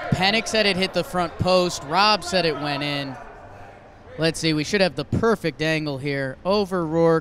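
Amid noticeable background noise, a high-pitched man talks in an excited tone at a moderate pace with ordinary pitch variation. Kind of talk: sports commentary. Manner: analytical color-commentator, steady and conversational, with excited jumps.

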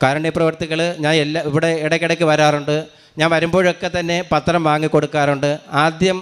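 With a fairly high pitch, a man talks in monotone, flat intonation. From Kerala, Thiruvananthapuram district. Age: 50s. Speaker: retired school clerk and parish catechist. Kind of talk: religious testimony.

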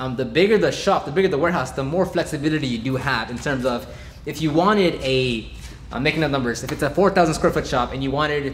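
A man speaks very fast, his pitch varying in an ordinary way, with light background noise underneath. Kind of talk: casual vlog chat. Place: garage.

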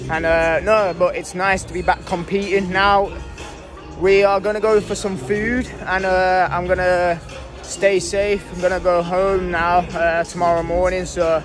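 Over clear background music, a man with a high pitch speaks fairly slowly in a monotone, flat way, the sound dry with no echo. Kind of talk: casual vlog chat. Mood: happy, relieved after competing. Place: hall. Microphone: phone near.

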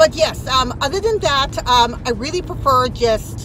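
Against noticeable background noise, a woman's voice comes through with a dry sound and no echo. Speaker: lifestyle vlogger. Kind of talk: casual vlog chat. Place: car. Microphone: phone near.

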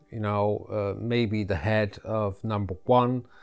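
A man talks with monotone, flat intonation as faint music plays behind him. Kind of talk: tutorial. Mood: friendly, relaxed. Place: home room. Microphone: lapel.

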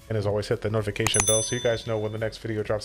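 A man talks at a very fast pace with a fairly low pitch. Faint music plays in the background. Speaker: gaming content creator. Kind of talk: casual gaming commentary.

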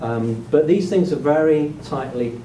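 Noticeable background noise sits behind a man with a British accent whose pitch varies in an ordinary way. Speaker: sociology of education professor. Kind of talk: lecture. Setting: stage with audience. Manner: halting.

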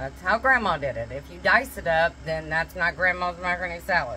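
Light background noise behind a woman speaking. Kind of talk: casual cooking tutorial with storytelling. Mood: warm, nostalgic. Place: kitchen. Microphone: phone near.

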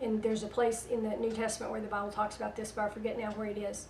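With a Southern US accent, a woman speaks at a fairly high pitch amid audible room echo and light background noise. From US South. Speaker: internet radio host and prophetic minister. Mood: calm, earnest. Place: home room.

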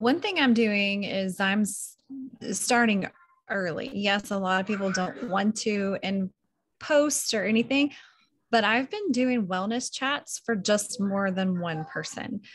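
At a fairly slow pace, this somewhat breathy speaker with an American accent uses ordinary pitch variation. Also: woman, medium pitch for a woman. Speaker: team member sharing progress. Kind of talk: casual team call. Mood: upbeat, reflective. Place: home room. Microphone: video call.

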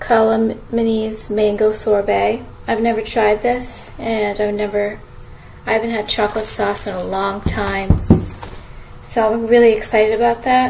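A woman speaks at a fairly slow pace and medium pitch, her tone slightly mellow with vocal fry and little pitch movement. Faint background noise sits behind her.

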